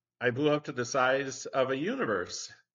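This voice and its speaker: A man speaks at a fairly slow pace in a medium pitch with an American accent. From Minnesota, US Midwest. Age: 60s. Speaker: retired engineer and author. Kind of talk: interview. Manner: halting, many fillers.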